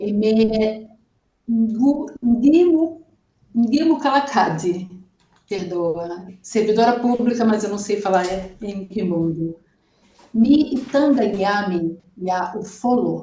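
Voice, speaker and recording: Pitched fairly high, a woman talks at a very slow pace with long, frequent pauses and lively intonation in a dark, mellow, somewhat breathy tone. Room echo is audible. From Brazil. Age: 60s. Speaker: student. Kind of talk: oral exam presentation.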